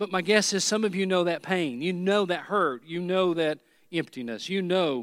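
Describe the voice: Plain reading aloud, pitch shifting in an ordinary way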